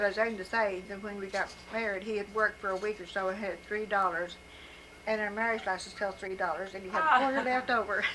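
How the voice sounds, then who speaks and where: Over noticeable background noise, a woman talks at a very fast pace in a medium pitch with fairly even intonation. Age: old. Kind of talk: life story told to family.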